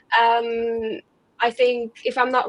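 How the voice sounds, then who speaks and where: A woman speaks with a fairly high pitch. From Romania. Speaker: SEO consultant. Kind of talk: webinar panel discussion.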